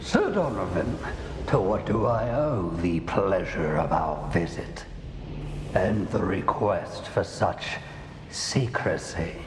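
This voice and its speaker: Amid loud background noise and a slight echo, a man performs a cartoonish character voice. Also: fairly low pitch for a man, fairly slow pace. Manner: calm, condescending.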